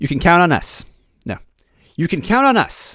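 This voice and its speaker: A man's put-on character voice, raspy, strained and high-pitched, at a moderate pace. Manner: forced character voice.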